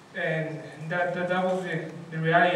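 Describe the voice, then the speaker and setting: Fairly slow speech with audible room echo and noticeable background noise. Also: man. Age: 20s. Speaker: boxer. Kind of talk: press conference remarks. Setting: press conference. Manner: halting, repeated words.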